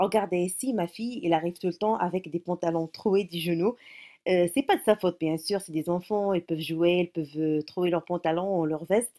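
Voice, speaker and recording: The tone is dark and mellow, with a Moroccan accent, ordinary pitch variation and a moderate pace. The recording is very clean and dry, close-miked with no echo and a silent background. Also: woman, fairly low pitch for a woman. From Morocco. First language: Moroccan Arabic (speaking French). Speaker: YouTuber, mother. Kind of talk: casual vlog tutorial. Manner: halting, many hesitations.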